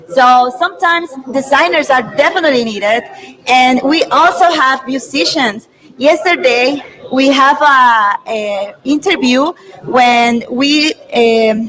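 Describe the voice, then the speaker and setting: Noticeable background noise sits behind the speaker. The delivery comes at a fairly slow pace with a Spanish accent. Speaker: event host. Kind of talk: live stream presentation. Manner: halting.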